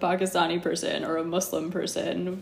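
A woman talks at a fairly quick pace with an American accent. Noticeable background noise sits behind her voice. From Los Angeles, California. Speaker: yoga teacher. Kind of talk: casual chat.

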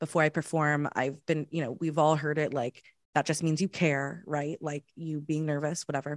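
Against a quiet background, a woman with a Southern Californian accent speaks in a very deep, low monotone with flat intonation, the sound dry and close with no echo. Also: moderate pace. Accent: Southern California American. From Los Angeles, San Fernando Valley. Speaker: improviser and sketch comedian. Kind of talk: casual chat. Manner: chatty.

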